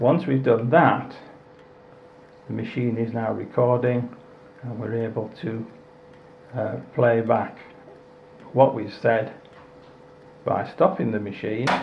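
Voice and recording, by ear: Slowly and with long, frequent pauses, a man speaks at a medium pitch with vocal fry and fairly even intonation, in strong room echo.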